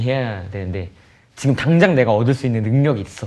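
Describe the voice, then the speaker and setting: Speaking at a very fast pace, a man with a medium pitch sounds somewhat breathy and uses lively intonation. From South Korea, Pyeongtaek (Songtan). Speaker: R&B singer-songwriter. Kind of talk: casual chat.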